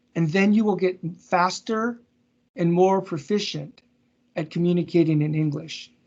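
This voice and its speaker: This man has a high pitch and fairly even intonation. He speaks with an American accent. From US West Coast (Seattle). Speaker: business consultant, guest speaker. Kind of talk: Q&A after presentation. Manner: slow, deliberate enunciation.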